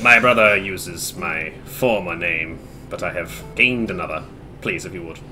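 Over clear background noise, a man puts on a character voice with a very deep, low pitch. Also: moderate pace. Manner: blank, aloof, formal.

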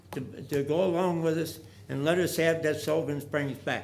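A man with an American accent speaks at a moderate pace in a fairly high pitch. His intonation is fairly even, and audible room echo is present. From US Midwest, St. Louis area. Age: 90s. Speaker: war veteran speaking at public forum. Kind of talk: public comment speech. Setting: council meeting chamber. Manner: halting; earnest, pleading.

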